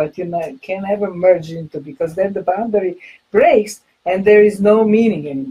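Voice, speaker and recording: A woman speaks in a somewhat breathy voice with ordinary pitch variation. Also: moderate pace. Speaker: co-host. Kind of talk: live video discussion. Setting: video call. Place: office. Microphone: webcam.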